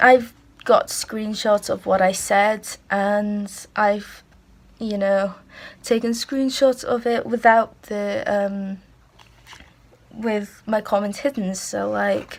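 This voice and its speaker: A woman with a Welsh accent, very slow with long, frequent pauses, in a very clean recording over a silent background. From Wales. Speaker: YouTuber. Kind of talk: casual vlog talk. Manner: casual with fillers.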